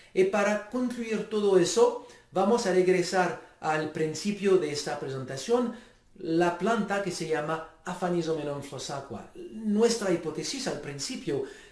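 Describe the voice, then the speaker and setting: A man with a non-native accent speaks fairly slowly at a high pitch and with lively intonation, heard with audible room echo and noticeable background noise. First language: not Spanish (speaking Spanish). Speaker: stem cell researcher. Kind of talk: lecture. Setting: home video recording. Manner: halting.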